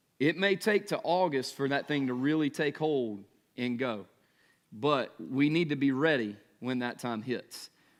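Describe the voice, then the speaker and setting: A man with a Southern US accent and a fairly high pitch speaks at a fairly slow pace. His tone is animated and his intonation lively against a quiet background. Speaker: pastor. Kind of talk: sermon.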